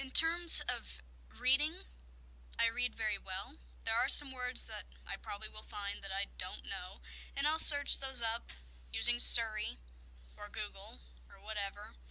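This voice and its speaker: A woman speaks quietly at a fairly high pitch, with a bright, sharp tone and ordinary pitch variation. Her loudness swings widely, and she leaves long, frequent pauses. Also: moderate pace. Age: young. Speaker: let's play gamer. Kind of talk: casual talk to camera.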